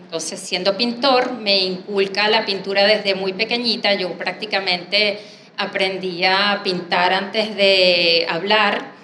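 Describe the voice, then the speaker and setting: A woman's very slow speech, with audible room echo and noticeable background noise. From Venezuela, Caracas. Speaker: artist and graphic designer. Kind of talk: panel talk, personal presentation.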